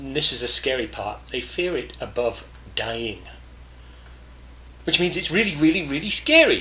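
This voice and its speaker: A man speaks at a moderate pace in a fairly high voice with lively intonation, over noticeable background noise. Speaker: podcast host, business networking coach. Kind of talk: podcast monologue. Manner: casual, with fillers and self-corrections.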